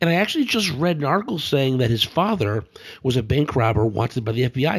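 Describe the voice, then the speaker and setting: A somewhat breathy man speaks at a very fast pace with lively intonation. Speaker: podcast co-host. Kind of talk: casual chat. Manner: halting.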